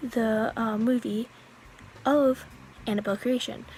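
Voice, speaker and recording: A woman with a fairly high pitch talks at a fairly slow pace and with fairly even intonation over noticeable background noise. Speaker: youtuber, movie reviewer. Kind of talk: casual movie review vlog. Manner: hesitant, many fillers.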